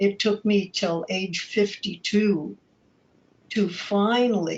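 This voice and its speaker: A woman speaks very slowly, somewhat breathy, with fairly even intonation. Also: medium pitch for a woman. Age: 70s. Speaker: clergy abuse survivor advocate. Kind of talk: panel discussion.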